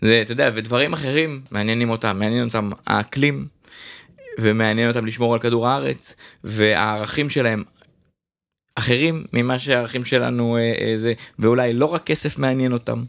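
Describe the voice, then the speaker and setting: Long, frequent pauses break up this man's moderate pace. His medium-pitched voice has ordinary pitch variation. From Israel, Jerusalem. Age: 40s. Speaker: DJ booking agency owner. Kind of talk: casual interview.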